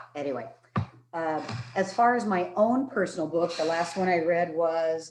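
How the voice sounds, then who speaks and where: The voice uses ordinary pitch variation. Noticeable background noise is present. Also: woman, fairly low pitch for a woman, moderate pace. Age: 60s. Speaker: high school English teacher. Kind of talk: self-introduction in a workshop. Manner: casual, animated.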